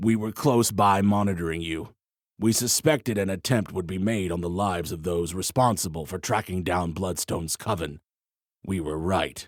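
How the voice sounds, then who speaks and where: In a put-on character voice with a very deep, low pitch, a man speaks at a moderate pace on a very clean recording with a silent background. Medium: read story. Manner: cold, curt.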